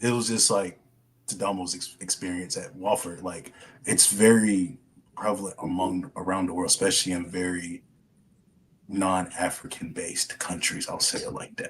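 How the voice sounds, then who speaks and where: A man talks at a moderate pace with an American accent. His pitch is very deep and low, and his intonation stays fairly even. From US South. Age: 20s. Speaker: podcast guest, former student. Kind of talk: casual chat.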